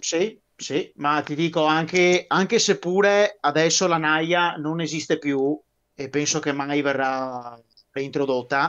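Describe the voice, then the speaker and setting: Here a man speaks at a fairly high pitch with ordinary pitch variation. His pace is very slow. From Veneto, Italy. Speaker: guest on a military history live stream; guest. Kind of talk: casual chat. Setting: live stream. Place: home room. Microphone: video call.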